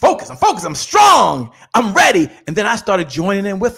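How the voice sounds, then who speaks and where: This very clean recording of a man has a completely silent background. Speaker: motivational speaker and sales coach. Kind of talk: pep talk. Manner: punchy, rallying, exhorting.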